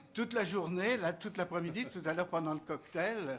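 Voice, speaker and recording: A man speaks with ordinary pitch variation. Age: 70s. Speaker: member of parliament. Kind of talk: explaining to children in Q&A. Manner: hesitant, many fillers.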